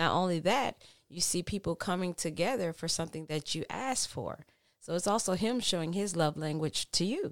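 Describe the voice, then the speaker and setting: An ordinary speaking voice from a woman with an American accent, fairly low in pitch, at a moderate pace with ordinary pitch variation, in a very clean recording over a silent background. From Texas. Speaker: pastor's kid, friend of host. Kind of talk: casual chat. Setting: home recording.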